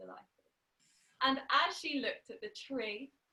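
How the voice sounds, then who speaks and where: A woman's raised, projected voice, bright and sharp in tone, with lively intonation. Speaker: storyteller. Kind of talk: oral storytelling to an audience. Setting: online video call.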